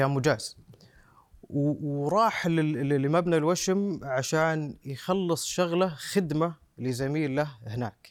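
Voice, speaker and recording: This man talks at a very slow pace in a fairly high pitch, with ordinary pitch variation. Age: 30s. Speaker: son of a terror victim. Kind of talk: interview testimony. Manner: halting with repetitions.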